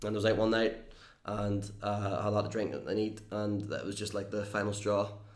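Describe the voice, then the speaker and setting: In a room with audible echo, a man speaks fairly quickly in a fairly low pitch and a flat, monotone intonation. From Northern Ireland. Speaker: YouTuber and entertainer. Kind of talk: casual interview chat.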